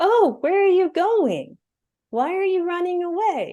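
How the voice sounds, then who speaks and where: The voice is a put-on character voice, pitched extremely high. Its pace is fairly slow. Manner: creepy; taunting.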